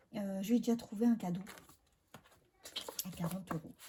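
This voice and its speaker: A woman speaks softly at a fairly quick pace. Her tone is dark and mellow. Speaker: budget vlogger. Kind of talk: casual vlog talk. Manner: soft-spoken; hesitant, many filler sounds.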